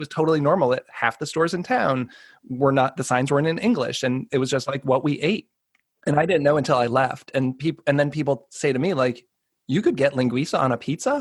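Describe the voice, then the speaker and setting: Fairly quick and fairly high-pitched, a man with an unremarkable speaking voice talks with an American accent. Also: ordinary pitch variation. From Boston area, USA. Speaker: podcast host. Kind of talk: podcast interview, casual conversation.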